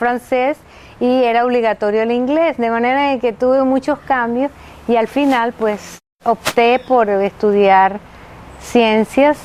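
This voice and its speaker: A woman with a high pitch talks at a fairly slow pace, keeping her intonation fairly even. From Venezuela, Maracay. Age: 60s. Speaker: anthropologist, retired professor. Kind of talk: interview testimony. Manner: halting.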